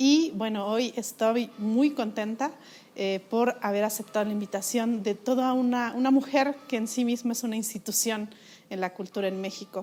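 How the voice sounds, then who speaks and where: With a dark, mellow tone, a woman talks at a fairly high pitch and fairly even intonation. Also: moderate pace. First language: Mixe (speaking Spanish). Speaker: interviewer. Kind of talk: interview. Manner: halting with many fillers.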